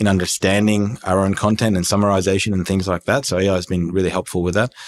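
A man with an Australian accent, fairly low in pitch, talking at a very fast pace over a silent background in a very clean recording. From Iran, moved to Australia at nine. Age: 30s. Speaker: entrepreneur. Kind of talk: casual interview chat.

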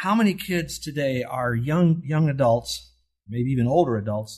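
A somewhat breathy man at a fairly high pitch, lively intonation and a moderate pace. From US. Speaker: Bible teacher. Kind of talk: sermon. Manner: animated; conversational.

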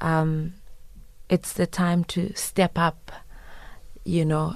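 At a very slow pace, a woman speaks with a very deep, low pitch in a very clean recording with a silent background. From Zimbabwe. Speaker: singer-songwriter. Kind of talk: interview. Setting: studio.

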